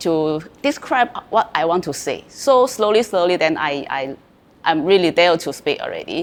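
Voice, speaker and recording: With a Chinese accent, a woman speaks at a fairly low pitch with lively intonation. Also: moderate pace. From China. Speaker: former student, real estate salesperson. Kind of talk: interview testimony. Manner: halting, many fillers and repeats.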